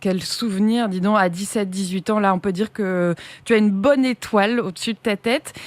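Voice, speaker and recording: A woman's plain, everyday voice at medium pitch, with ordinary pitch variation, a moderate pace, and a dry, close sound with no echo. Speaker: radio host. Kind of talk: radio show hosting. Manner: upbeat.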